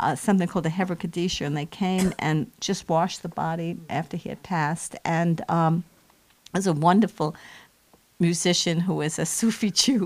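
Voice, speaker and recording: A woman with a plain, everyday voice talks at a moderate pace, her fairly low pitch following a fairly even intonation. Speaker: bereaved widow. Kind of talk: personal testimony.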